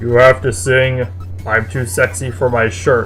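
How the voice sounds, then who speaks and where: Clear music plays behind a man using a put-on character voice at a medium pitch. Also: moderate pace. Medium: read story.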